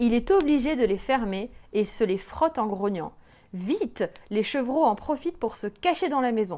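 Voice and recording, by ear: The speaker reads aloud in a natural voice, with intonation that is lively.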